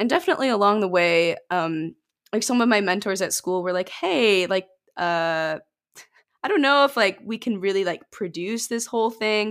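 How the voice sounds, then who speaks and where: On a very clean recording with a silent background, a woman with an American accent uses a normal speaking voice at medium pitch, with ordinary pitch variation and a moderate pace. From Michigan, US. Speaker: musician. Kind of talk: casual interview chat.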